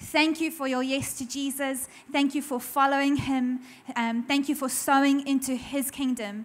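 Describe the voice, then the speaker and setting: At a moderate pace, a woman speaks in a high pitch with a monotone, flat intonation. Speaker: pastor's wife, guest speaker. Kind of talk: warm greeting. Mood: warm, grateful. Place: church. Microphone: handheld.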